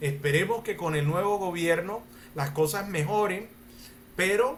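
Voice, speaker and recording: The man's voice sits high in pitch and moves at a fairly slow pace. Audible room echo surrounds it. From Colombia. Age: 60s. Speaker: lawyer and mediator. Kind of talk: panel talk answering audience questions.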